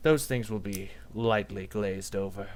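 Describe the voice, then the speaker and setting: Over clear background noise, a man does a put-on character voice at a moderate pace with a fairly low pitch. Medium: actual play. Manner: measured, menacing.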